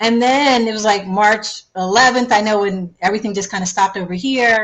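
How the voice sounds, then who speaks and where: A woman with an American accent talks at a fairly quick pace. Her pitch is fairly high and her intonation fairly even. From US Northeast, Philadelphia. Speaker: travel TV host. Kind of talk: interview. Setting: live video stream. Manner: subdued.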